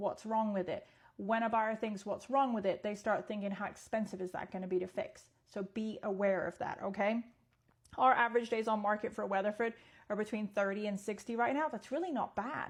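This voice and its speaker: A woman speaks at a fairly quick pace in a fairly high, somewhat breathy voice with fairly even intonation. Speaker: real estate agent. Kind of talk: social media video monologue. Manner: fast.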